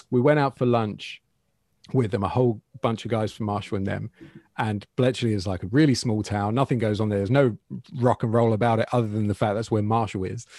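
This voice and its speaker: In a southern English accent, the speaker talks at a fairly quick pace with fairly even intonation, the sound dry and close with no echo on a very clean recording with a silent background. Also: man, medium pitch for a man. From England, Bedfordshire. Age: 40s. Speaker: guitar YouTuber. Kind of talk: casual interview.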